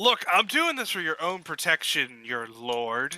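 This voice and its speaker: A man puts on a character voice with a high pitch. He moves at a fairly slow pace with very wide pitch swings. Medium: actual play.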